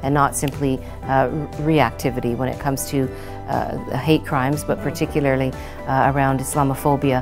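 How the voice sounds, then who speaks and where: A woman at a very deep, low pitch, moderate pace and fairly even intonation, with clear music in the background. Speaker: political party leader. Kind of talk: interview answer. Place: classroom. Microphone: lapel.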